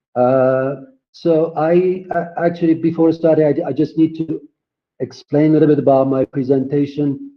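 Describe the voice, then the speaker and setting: Speaking at a fairly slow pace, a man with a Persian accent shows ordinary pitch variation. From Iran. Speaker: graphic designer and educator. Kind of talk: online conference presentation. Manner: halting, many fillers.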